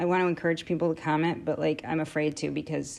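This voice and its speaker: The background is quiet. A woman talks at a fairly quick pace. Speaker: amateur science video maker. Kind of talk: casual monologue to camera. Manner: halting, many fillers.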